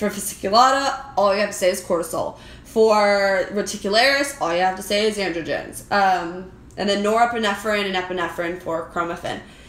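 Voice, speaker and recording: A woman talks at a fairly quick pace. Her pitch is medium, with audible room echo around her voice. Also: ordinary pitch variation. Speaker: anatomy and physiology instructor. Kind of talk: exam review tutorial. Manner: fast.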